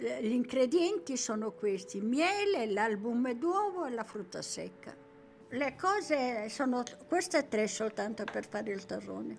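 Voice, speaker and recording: Music plays behind a woman who talks at a rather slow speed. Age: 80s+. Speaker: nougat shopkeeper. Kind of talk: interview.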